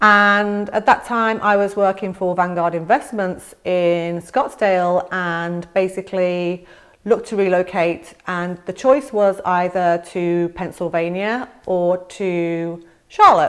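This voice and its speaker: Against a quiet background, a woman with an English accent talks at a very slow pace with fairly even intonation. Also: medium pitch for a woman. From England. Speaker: real estate agent. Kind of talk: vlog-style informational talk to camera. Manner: conversational with fillers.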